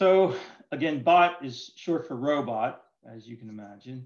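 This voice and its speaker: The speech comes at a fairly slow pace with ordinary pitch variation, with audible room echo and a quiet background. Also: man. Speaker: presenter. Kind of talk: lecture. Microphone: video call.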